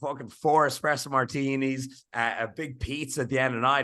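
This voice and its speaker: A man speaks with a Dublin accent in a bright, sharp tone. His intonation stays fairly even against a quiet background. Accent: Irish, Dublin. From Ireland. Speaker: fitness coach and influencer. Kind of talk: podcast conversation. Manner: casual.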